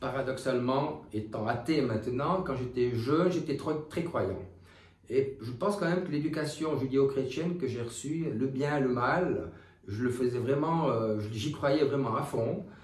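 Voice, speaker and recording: In a room with audible echo, a man speaks at a medium pitch and a fairly slow pace with ordinary pitch variation. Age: 60s. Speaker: municipal president and former trade unionist. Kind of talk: interview.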